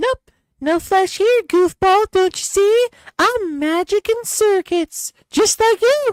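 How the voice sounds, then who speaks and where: A female-sounding speaker does a squeaky, put-on character voice at an extremely high pitch. The pace is fairly slow. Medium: actual play. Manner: playful, teasing.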